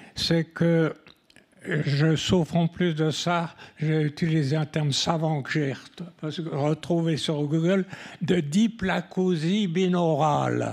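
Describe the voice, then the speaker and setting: Fairly high in pitch and fairly even in intonation, a man speaks at a very slow pace. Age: 80s+. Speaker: hard-of-hearing senior sharing experience. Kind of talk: round table testimony. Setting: round table event with audience.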